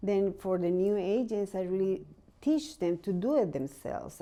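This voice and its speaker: With a Spanish accent and lively intonation, a woman speaks in a dark, mellow tone against a quiet background. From Mexico, Guadalajara. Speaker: real estate agent. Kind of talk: interview.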